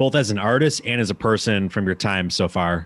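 Pitched fairly low, a man with an Upper Midwest accent keeps a moderate pace and ordinary pitch variation. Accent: Upper Midwest American. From US Midwest. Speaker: podcast host. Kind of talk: casual interview chat.

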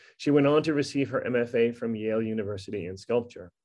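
With fairly even intonation and a fairly quick pace, this is a plain, everyday voice. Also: man. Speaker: school equity administrator, event moderator. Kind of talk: introduction to student Q and A. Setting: video call.

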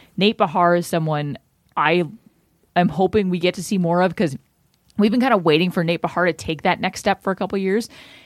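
The speech comes at a fairly quick pace broken by long, frequent pauses, with ordinary pitch variation, a dry, close sound with no echo and a very clean recording against a silent background. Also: woman, fairly low pitch for a woman. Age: 30s. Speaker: sports podcast co-host. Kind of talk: casual sports chat.

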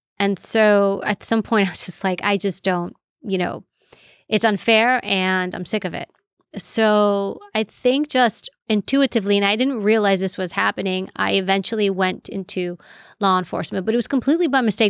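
In a very clean recording with a silent background and a dry, close sound with no echo, a woman speaks at a moderate pace with medium pitch and ordinary pitch variation. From New York City. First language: Greek. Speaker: former federal agent, author and professor. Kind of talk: casual interview chat.

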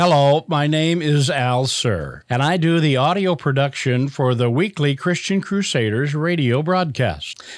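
A man with a plain, everyday voice, fairly high-pitched, very even in loudness, fairly slow with hardly any pauses, and ordinary pitch variation. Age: 60s. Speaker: audio producer. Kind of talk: recorded reflection.

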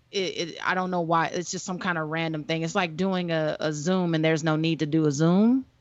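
A woman with an ordinary speaking voice and a fairly low pitch talks fairly quickly, with hardly any pauses and fairly even intonation. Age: 30s. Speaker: podcast co-host and filmmaker. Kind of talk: casual chat.

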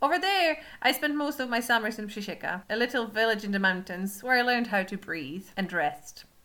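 Loud and bright with a sharp tone, a woman speaks at a fairly quick pace and fairly high pitch, her pitch swinging very widely, with hardly any pauses. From Poland. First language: Polish. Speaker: podcast host. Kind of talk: podcast teaser intro. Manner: loud laugher.

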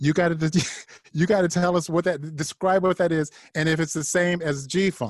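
Speaking at a moderate pace, a man with an American accent has a high pitch. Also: fairly even intonation. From Ohio. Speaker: podcast host. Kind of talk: interview. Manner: halting, repetitive.

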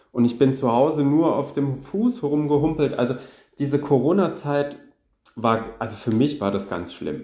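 Speaking at a moderate pace with lively intonation, a man with a fairly high-pitched voice is heard over audible room echo. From Saarland, Germany. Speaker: concert organist. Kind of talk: interview.

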